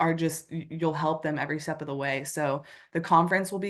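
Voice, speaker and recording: A normal speaking voice with an American accent, a fairly quick pace, fairly even intonation and a quiet background. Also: woman. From United States. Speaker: nurse. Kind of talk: interview.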